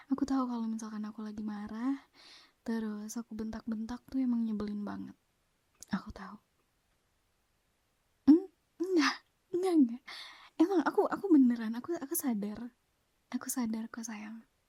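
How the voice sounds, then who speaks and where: Soft-spoken and dark, mellow in tone, a woman speaks at a moderate pace with ordinary pitch variation. Her speech has long, frequent pauses. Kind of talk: ASMR girlfriend roleplay.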